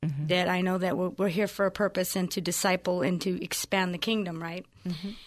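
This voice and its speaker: Against a quiet background, a woman with an ordinary speaking voice talks fairly quickly at medium pitch with fairly even intonation. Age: 50s. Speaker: godmother and church deliverance minister. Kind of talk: radio interview. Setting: studio.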